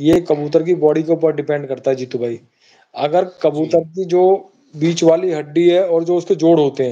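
At a moderate pace, a man with a fairly high pitch and a dark, mellow tone speaks with fairly even intonation. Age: 50s. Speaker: pigeon fancier; guest. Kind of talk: casual chat. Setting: live stream. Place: home room. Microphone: phone near.

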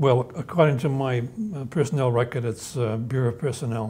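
A man speaks at a medium pitch with ordinary pitch variation and a slightly mellow tone. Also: moderate pace.

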